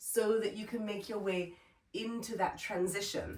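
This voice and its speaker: A woman with an ordinary speaking voice talks at a fairly slow pace and a medium pitch. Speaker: yoga teacher. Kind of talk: workshop instruction.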